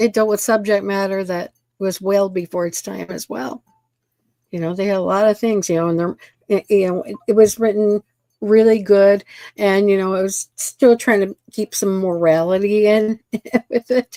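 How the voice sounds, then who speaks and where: A woman with a Midwestern accent speaks at a moderate pace in a dark, mellow tone, recorded with a dry, close sound and no echo. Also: medium pitch for a woman, fairly even intonation. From US Midwest. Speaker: panelist. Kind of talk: casual panel chat.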